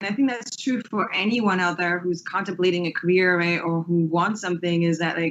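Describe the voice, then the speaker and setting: Moderate pace, in an American accent. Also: woman. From England. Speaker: space engineer. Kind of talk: interview answer.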